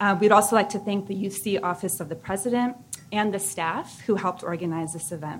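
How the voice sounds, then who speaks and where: Somewhat breathy, a woman speaks at a fairly quick pace with a medium pitch and ordinary pitch variation. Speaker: university professor. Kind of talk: conference lecture. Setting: stage with audience.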